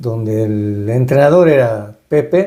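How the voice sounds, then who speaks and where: The man's voice is dark, mellow and somewhat breathy. His intonation is lively. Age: 70s. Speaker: retired baseball and hockey player and coach. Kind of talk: interview. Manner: halting, many fillers.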